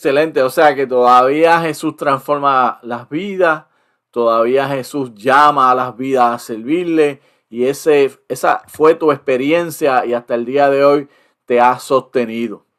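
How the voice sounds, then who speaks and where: At a fairly slow pace, a man with a fairly high pitch and fairly even intonation speaks in an ordinary speaking voice. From Puerto Rico. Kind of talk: interview.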